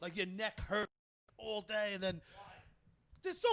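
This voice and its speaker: A man speaks with a Brooklyn accent. His tone is animated. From New York, Brooklyn. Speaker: podcast host. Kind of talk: casual chat.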